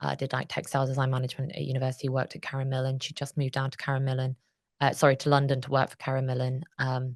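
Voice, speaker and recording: In a quiet setting, a woman with a very deep, low voice speaks very fast in a monotone, flat intonation. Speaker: charity director. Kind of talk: interview. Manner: loud; halting.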